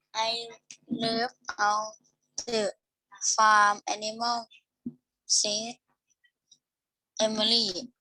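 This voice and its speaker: In a put-on robotic character voice, the speech crawls at a very slow pace, monotone and flat, broken by long, frequent pauses. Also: woman, fairly high pitch for a woman. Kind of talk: mechanical reading. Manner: flat robotic monotone.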